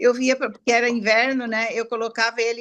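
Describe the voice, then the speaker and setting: This woman's voice has a bright, sharp tone. She speaks at a moderate pace. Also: quiet background. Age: 70s. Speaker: customer giving testimony. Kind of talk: testimony. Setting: live stream. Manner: halting.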